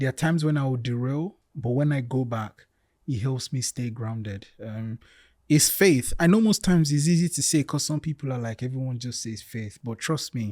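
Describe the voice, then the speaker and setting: The voice has a dark, mellow tone and is somewhat breathy, with a dry, close sound with no echo on a very clean recording against a silent background. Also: man, medium pitch for a man, ordinary pitch variation, moderate pace. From Nigeria, Lagos. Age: 30s. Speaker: podcast guest. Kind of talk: interview conversation.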